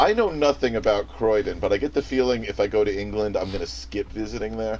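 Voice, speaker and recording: A man with a slight New York accent talks at a very fast pace. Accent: soft New York. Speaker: music theory guest. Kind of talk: casual chat.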